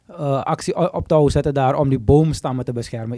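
A man's dark, mellow, medium-pitched voice at a very fast pace, with ordinary pitch variation. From Suriname. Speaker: podcast host. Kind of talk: casual interview chat. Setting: studio.

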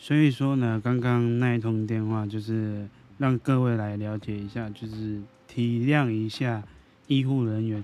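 A man's delivery is monotone and flat, coming at a fairly slow pace. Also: medium pitch for a man. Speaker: podcast host. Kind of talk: casual monologue. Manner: halting.

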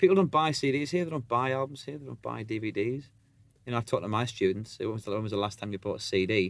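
A man speaks with a Sunderland accent at a fairly quick pace. His intonation is lively. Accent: Sunderland (Mackem) English. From northern England, Sunderland. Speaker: rock musician. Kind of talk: casual chat.

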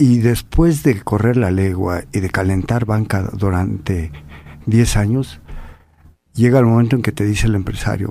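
A man speaks at a moderate pace with a dark, mellow tone. His pitch is fairly low, with ordinary pitch variation. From Mexico. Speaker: bullfighter. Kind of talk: interview. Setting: radio studio.

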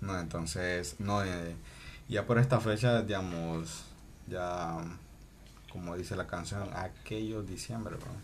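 The speech moves at a very slow pace with long, frequent pauses, ordinary pitch variation and audible room echo. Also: man, very deep, low pitch for a man. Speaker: podcast co-host. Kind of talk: casual chat. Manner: slow, measured speech.

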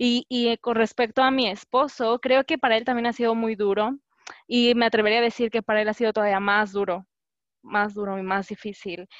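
In a normal speaking voice over a quiet background, the speaker talks at a fairly quick pace with fairly even intonation. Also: woman, fairly high pitch for a woman. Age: 20s. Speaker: graduate student. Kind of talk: casual chat.

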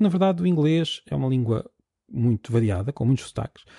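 Somewhat breathy, a man speaks at medium pitch with a dark, mellow tone, lively intonation and a European Portuguese accent, in a dry, close sound with no echo. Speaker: podcast host, linguist. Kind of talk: solo educational podcast. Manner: halting, repeats words.

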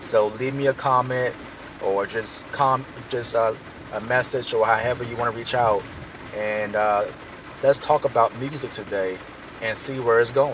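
With noticeable background noise behind him, a man speaks at a fairly slow pace with long, frequent pauses and fairly even intonation. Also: medium pitch for a man. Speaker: hip hop artist and music teacher. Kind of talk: casual monologue.

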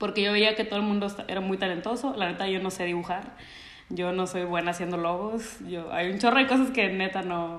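With a Mexican accent, a woman speaks at a medium pitch in fairly even intonation. Audible room echo surrounds her voice. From Mexico. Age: 30s. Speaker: church creative director. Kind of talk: casual interview chat. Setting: remote call.

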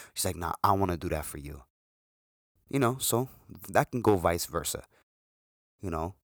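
At a fairly quick pace, a man speaks with lively intonation and a very deep, low pitch on a very clean recording with a silent background. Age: 20s. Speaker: podcast host. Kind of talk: solo podcast monologue. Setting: home recording. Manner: casual.

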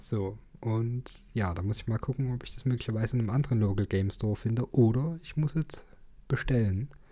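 A man talks at a fairly quick pace, his voice somewhat breathy, with ordinary pitch variation. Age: 20s. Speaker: podcast co-host. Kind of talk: casual chat. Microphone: sits very close to the mic, low level.

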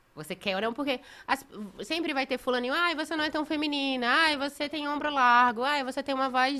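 On a very clean recording with a silent background, a woman projects her raised voice at a high pitch and a fairly quick pace, her bright, sharp tone showing ordinary pitch variation. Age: 20s. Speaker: reality show contestant and model. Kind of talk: casual chat.

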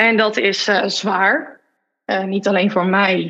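A woman at a medium pitch, speaking at a very slow pace. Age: 30s. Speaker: marketing consultant and entrepreneur. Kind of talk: personal testimony in interview.

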